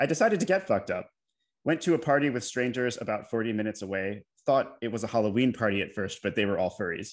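A man rattles along at a very fast pace with ordinary pitch variation, the background quiet. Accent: American. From United States (Maryland). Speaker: poet, PhD student in poetry. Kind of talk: poetry reading. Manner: confessional, narrative. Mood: candid confessional narration. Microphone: video call.

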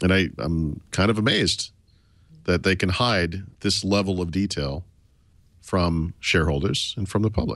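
Against a quiet background, a man with a very deep, low pitch speaks at a moderate pace with ordinary pitch variation, the sound dry with no echo. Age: 40s. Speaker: tech journalist. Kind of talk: casual chat. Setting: remote hotel room in Las Vegas. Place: home room. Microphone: studio mic.

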